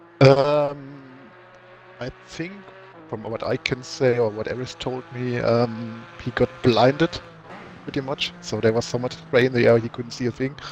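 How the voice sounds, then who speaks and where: Against noticeable background noise, a man with a German accent talks at a fairly slow pace in a medium pitch with fairly even intonation. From Germany. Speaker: sim racing team driver. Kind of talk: casual chat.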